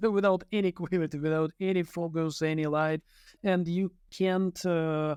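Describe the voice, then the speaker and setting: A man with a high pitch and monotone, flat intonation at a moderate pace and very even loudness, with a dry, close sound, no echo and a quiet background. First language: non-English. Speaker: medical doctor and laser cosmetologist. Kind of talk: interview conversation.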